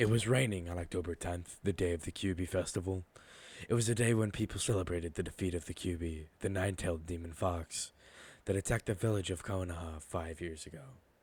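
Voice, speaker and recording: Somewhat breathy and very deep, a man's low voice runs at a very fast pace with fairly even intonation. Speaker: fanfiction voiceover narrator. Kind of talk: casual intro; reading aloud. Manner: hesitant, filler words.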